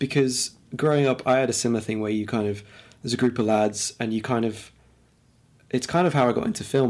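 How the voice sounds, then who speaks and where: On a very clean recording with a silent background, a man with an East Midlands accent talks very fast at medium pitch. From England, Lincoln. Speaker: podcast co-host. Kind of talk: casual chat.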